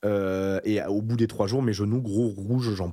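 An animated tone from a man on a very clean recording with a silent background. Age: 20s. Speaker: YouTuber. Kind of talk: casual chat.

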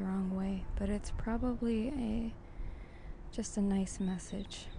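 Somewhat breathy with a dark, mellow tone, a woman at a medium pitch speaks at a very slow pace with fairly even intonation, and the room echo is audible. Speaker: podcast host. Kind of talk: descriptive monologue. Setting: outdoors at a coffee shop on a busy street. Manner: casual, halting with fillers.

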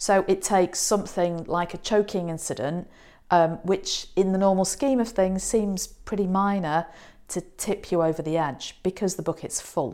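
In a British accent, a woman speaks at medium pitch and a moderate pace, her tone dark and mellow, her pitch variation ordinary, on a very clean recording with a silent background. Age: 50s. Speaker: psychologist. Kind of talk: advice monologue.

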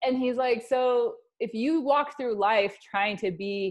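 A woman's plain, everyday voice with a General American accent, fairly slow pace and ordinary pitch variation. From US Wyoming. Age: 30s. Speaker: model agency owner and author. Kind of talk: casual chat.

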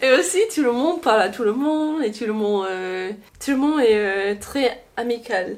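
Speech comes at a moderate pace. It is delivered in an English accent. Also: woman, fairly high pitch for a woman. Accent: English-speaking accent in French. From Louisiana, Baton Rouge. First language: English (speaking French). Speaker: student abroad. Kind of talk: casual interview. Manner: halting.

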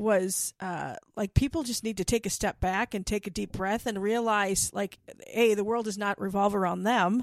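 At a moderate pace, a woman with a medium pitch uses an animated tone, in a very clean recording with a silent background and a dry, close sound with no echo. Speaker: podcast host. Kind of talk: casual chat. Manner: animated, laughing often.

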